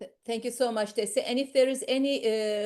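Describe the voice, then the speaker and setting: Against a quiet background, a woman speaks at a moderate pace. Her intonation stays fairly even. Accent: non-native. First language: not English. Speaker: professor and medical society official. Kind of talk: online meeting moderation. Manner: halting.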